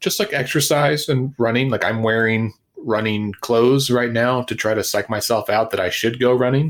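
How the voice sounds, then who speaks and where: A man speaks at medium pitch with ordinary pitch variation and at a moderate pace. His loudness is very even, and he hardly pauses. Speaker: counselor and nonprofit founder. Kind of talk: casual interview. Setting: video call.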